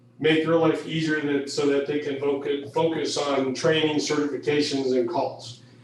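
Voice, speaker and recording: A man's fairly high-pitched voice at a fairly slow pace, with audible room echo and noticeable background noise. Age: 60s. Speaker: fire and rescue chief. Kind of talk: presentation at a public meeting. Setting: county board meeting. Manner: halting, many fillers.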